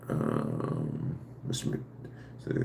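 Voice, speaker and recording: A man's dark, mellow tone with vocal fry. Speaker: live streamer answering viewer questions. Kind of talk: casual live stream chat. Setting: live stream. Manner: halting, with fillers and restarts; speech affected by past brain injury.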